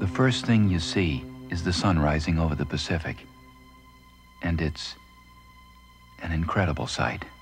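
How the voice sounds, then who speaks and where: Over music in the background, the speaker goes at a moderate pace with ordinary pitch variation and long, frequent pauses. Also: man, very deep, low pitch for a man. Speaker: voiceover narrator. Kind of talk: documentary narration. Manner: natural, plain-spoken.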